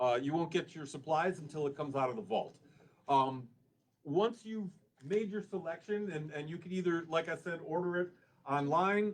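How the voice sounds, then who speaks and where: A man speaks loudly with an American accent. His pitch is high. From Illinois, Chicago area. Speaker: cannabis dispensary representative. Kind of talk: public meeting presentation. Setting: public meeting with audience.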